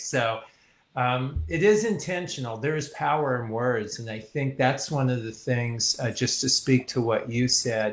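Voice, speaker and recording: With an American accent and a plain, everyday voice, a man speaks at a moderate pace and medium pitch with ordinary pitch variation. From California. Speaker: communication coach. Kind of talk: interview.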